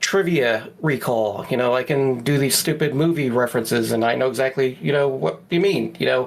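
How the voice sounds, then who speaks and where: Speaking in a plain, everyday voice, a man of medium pitch keeps a moderate pace with ordinary pitch variation. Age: 40s. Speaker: podcast co-host. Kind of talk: casual chat.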